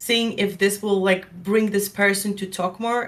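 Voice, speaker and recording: A woman with an unremarkable speaking voice keeps a moderate pace. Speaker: streamer and artist. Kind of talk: podcast interview.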